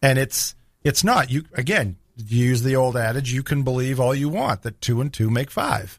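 A man with an American accent, medium pitch, ordinary pitch variation and a somewhat breathy sound. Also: moderate pace, very clean recording, silent background. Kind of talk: radio talk show. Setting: radio studio.

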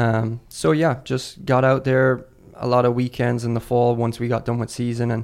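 Here a man speaks at a moderate pace with an Irish accent. His medium pitch stays monotone, with flat intonation. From Ireland. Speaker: assistant soccer coach. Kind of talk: casual chat.

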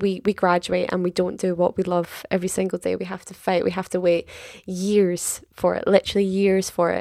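A woman with a medium pitch and a dark, mellow tone talks at a fairly quick pace in a monotone, flat intonation. The sound is dry and close, with no echo. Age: 20s. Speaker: podcast co-host, drama school student. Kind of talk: casual chat. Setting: at home, late at night. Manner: quiet.

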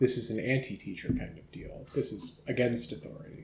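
This man's voice has a dark, mellow tone, a medium pitch and a slight breathiness, and he talks at a fairly quick pace with lively intonation. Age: 30s. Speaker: podcast host. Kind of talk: casual interview. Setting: friend's kitchen, in person.

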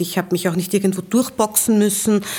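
A woman talks in a normal speaking voice at a medium pitch. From Vienna, Austria. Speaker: transport company executive. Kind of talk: interview.

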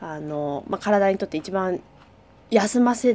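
Her dark, mellow tone sits at a medium pitch, and this woman's intonation is lively. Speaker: podcast co-host, dancer and company president. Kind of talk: casual chat. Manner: fast.

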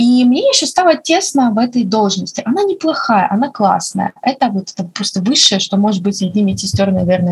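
This woman has an ordinary speaking voice with a fairly high pitch. She talks at a fairly quick pace with hardly any pauses. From Russia, Makhachkala (Dagestan). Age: 20s. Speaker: nurse and medical student. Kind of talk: casual chat.

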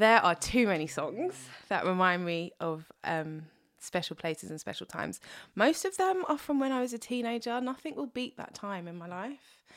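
Speaking in a London accent at a moderate pace, a woman uses a medium pitch that swings very widely. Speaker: singer-songwriter. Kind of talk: casual chat.

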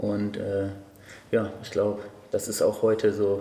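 Both room echo and noticeable background noise can be heard around a man's voice. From Cologne, Germany. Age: 20s. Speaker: bodybuilding coach and judge. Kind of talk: casual chat. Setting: gym.

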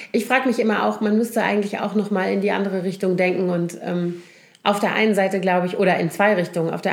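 Over noticeable background noise, a woman speaks fairly quickly at a medium pitch with fairly even intonation. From Germany, Koblenz (Rhineland). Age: middle-aged. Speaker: podcast co-host. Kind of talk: casual chat.

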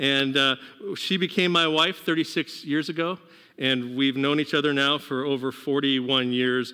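A man with an unremarkable speaking voice talks at a moderate pace, his pitch fairly high and his intonation fairly even, with very even loudness. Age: 50s. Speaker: pastor. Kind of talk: sermon. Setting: church service, partly streamed to homes.

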